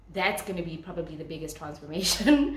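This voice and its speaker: A woman is speaking with audible room echo. Light background noise is present. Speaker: vlogger. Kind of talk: casual vlog chat. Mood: excited, cheerful, laughing. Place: home room. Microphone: phone near.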